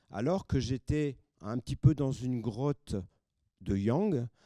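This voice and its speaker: In a dry, close sound with no echo, a man with a dark, mellow tone speaks at a medium pitch, very slowly, with lively intonation. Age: 70s. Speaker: audience member. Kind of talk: audience discussion. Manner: halting.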